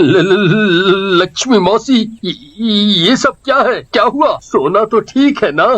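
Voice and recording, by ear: Slowly, a man talks in a put-on character voice pitched high. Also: lively intonation, fairly bright tone.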